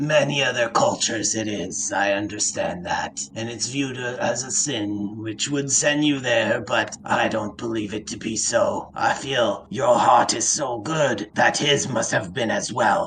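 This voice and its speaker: A man puts on a character voice while clear background noise runs underneath. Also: medium pitch for a man, moderate pace. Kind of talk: fantasy tabletop roleplay. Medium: actual play. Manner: formal, archaic.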